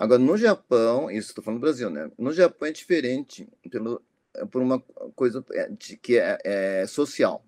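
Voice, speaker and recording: A man speaks at a medium pitch with lively intonation. The sound is dry and close, with no echo. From Japan, moved to Brazil at 10. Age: 60s. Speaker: physician, ageing specialist. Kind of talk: interview. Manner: hesitant, many fillers.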